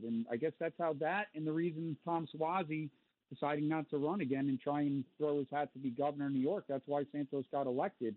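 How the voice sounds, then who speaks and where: A man with an American accent has an unremarkable speaking voice. His pitch is fairly high and his pace is moderate. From Connecticut. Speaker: caller. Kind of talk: call-in talk radio. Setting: phone call.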